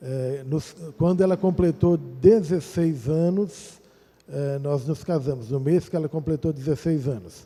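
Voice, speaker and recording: A man talks with a fairly high pitch. His tone is dark and mellow and somewhat breathy. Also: ordinary pitch variation, fairly slow pace. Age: 60s. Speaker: pastor. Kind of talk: testimony. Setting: church.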